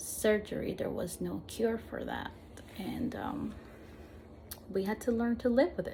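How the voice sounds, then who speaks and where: In a Spanish accent, a woman talks at a very slow pace with noticeable background noise behind her. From Peru, Lima; later Argentina. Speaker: vlogger with visual impairment. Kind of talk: personal testimony. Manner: halting, frequent repetitions.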